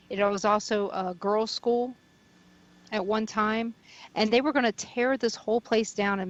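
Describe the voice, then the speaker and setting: With an American accent, a woman speaks fairly slowly at a medium pitch, her intonation fairly even. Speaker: paranormal radio host and investigator, volunteer at a haunted mansion. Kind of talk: radio interview answer, telling stories about a haunted mansion.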